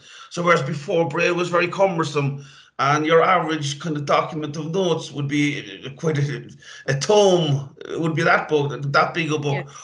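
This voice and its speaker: Speaking with a Cork accent at a moderate pace, a man uses a fairly high pitch and fairly even intonation, with big swings in loudness and noticeable background noise. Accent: Cork Irish. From Ireland, Cork. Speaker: IT trainer for blind people. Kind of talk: interview.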